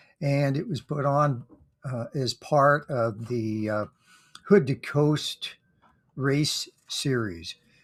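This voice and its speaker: Over a silent background on a very clean recording, a somewhat breathy man speaks at a very slow pace and fairly high pitch, with ordinary pitch variation and long, frequent pauses. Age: 70s. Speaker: amateur runner vlogger. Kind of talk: casual monologue recap. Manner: halting, many fillers.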